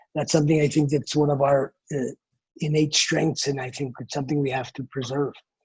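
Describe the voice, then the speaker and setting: Fairly high in pitch and somewhat breathy, a man speaks in a monotone, flat way. The sound is dry and close, with no echo. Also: fairly quick pace. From US Northeast, New Jersey. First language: Mongolian. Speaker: travel company founder. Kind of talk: interview. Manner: halting, many false starts.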